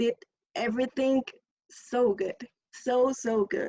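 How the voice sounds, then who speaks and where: A woman's high voice in a Spanish accent, at a very slow pace. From Mexico. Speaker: audience member. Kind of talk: casual chat. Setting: video call.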